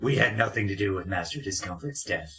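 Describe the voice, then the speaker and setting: Speaking at a fairly quick pace, a man puts on a character voice pitched fairly low. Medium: actual play. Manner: evasive, calmly deceptive.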